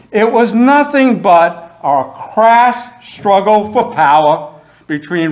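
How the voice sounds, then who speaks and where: Over audible room echo, a man talks at a very slow pace with lively intonation. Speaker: history professor. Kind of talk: lecture. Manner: loud. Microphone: no microphone, projecting.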